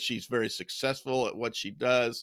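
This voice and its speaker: On a very clean recording with a silent background and a dry, close sound with no echo, a man uses a normal speaking voice at medium pitch with an American accent. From United States. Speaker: professor, pastor and author. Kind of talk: casual interview.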